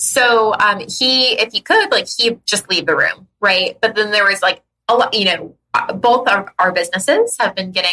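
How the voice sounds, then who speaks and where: A woman speaks in an animated, bright, sharp tone at a fairly high pitch. Her pace is moderate and her loudness stays very even. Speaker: podcast co-host; business owner. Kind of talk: casual chat. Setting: podcast recording.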